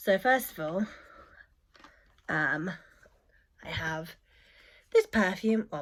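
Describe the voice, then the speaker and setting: A woman with a medium-pitched voice speaks at a fairly slow pace. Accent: British. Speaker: beauty vlogger. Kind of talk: casual vlog talk.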